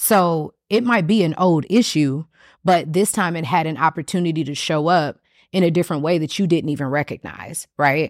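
Here is a woman with a plain, everyday voice, fairly low in pitch and with ordinary pitch variation. The sound is dry and close with no echo, on a very clean recording with a silent background. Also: moderate pace. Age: 30s. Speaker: podcast host and sex educator. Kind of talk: solo podcast monologue. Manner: casual, with frequent filler words.

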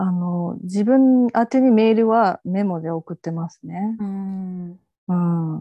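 Dark and mellow, a woman's voice moves at a very slow pace with big swings in loudness. The sound is dry and close with no echo, over a quiet background. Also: medium pitch for a woman, ordinary pitch variation. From Japan, Fukuoka. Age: 40s. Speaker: freelance writer. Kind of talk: casual interview chat.

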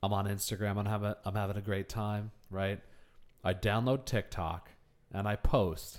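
Set against a silent background in a very clean recording, a man uses an ordinary speaking voice at a moderate pace and a fairly low pitch. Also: fairly even intonation. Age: 30s. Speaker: podcast co-host. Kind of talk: casual chat.

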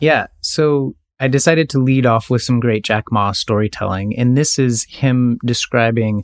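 Heard in a dry, close sound with no echo, an unremarkable speaking voice with an American accent moves at a fairly slow pace with ordinary pitch variation. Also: man. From United States. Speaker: podcast co-host. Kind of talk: casual chat.

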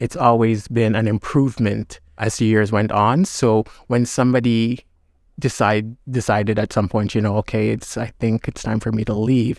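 An unremarkable speaking voice from a man at medium pitch, moderate in pace with fairly even intonation, in a dry, close sound with no echo on a very clean recording with a silent background. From Jamaica, then Brampton, Canada from age 11. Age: young. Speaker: former actor and arts board chair. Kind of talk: casual interview chat.

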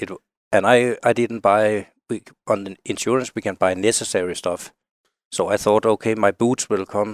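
Spoken with a Danish accent at a moderate pace, the voice is monotone and flat, with a dry, close sound and no echo. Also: man, very clean recording, silent background. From Denmark. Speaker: outdoor writer and hunter. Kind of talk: casual interview chat. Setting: studio.

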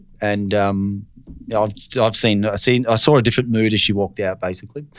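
An Australian-accented man at a fairly low pitch and fairly quick pace, with ordinary pitch variation, on a very clean recording with a silent background. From Australia, Brisbane. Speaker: finance broker. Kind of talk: casual interview.

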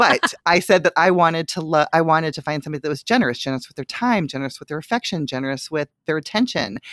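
Very fast speech with hardly any pauses, in an animated tone and lively intonation. The sound is dry and close with no echo. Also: woman, very deep, low pitch for a woman. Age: 40s. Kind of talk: casual chat.

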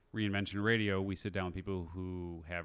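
A man with an American accent speaks at a fairly quick pace in a very deep, low voice with monotone, flat intonation, on a very clean recording with a silent background. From Chicago, US Midwest. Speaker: podcast host and entrepreneur. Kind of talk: casual interview chat.

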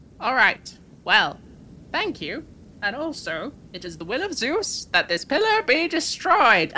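A shrill, put-on character voice, female-sounding and high-pitched, with very wide pitch swings at a fairly slow pace. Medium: actual play.

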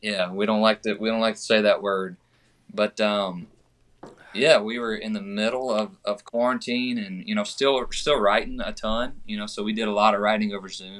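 A man's fairly low, monotone voice with flat intonation, at a moderate pace. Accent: Southern US. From Georgia (US). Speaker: country singer. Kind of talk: casual chat.

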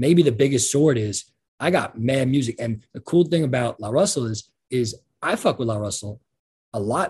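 A man's somewhat breathy, medium-pitched voice with lively intonation at a moderate pace. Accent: American. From New York. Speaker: rapper. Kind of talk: casual interview.

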